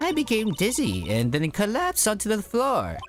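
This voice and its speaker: Over clear background music, a man puts on a high-pitched character voice at a moderate pace. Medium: game stream. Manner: genteel, old-fashioned politeness.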